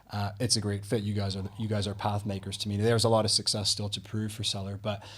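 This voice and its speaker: At a very fast pace, a man talks in a fairly low, somewhat breathy voice with monotone, flat intonation. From Canada. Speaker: podcast host. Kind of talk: interview conversation. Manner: hesitant, many fillers.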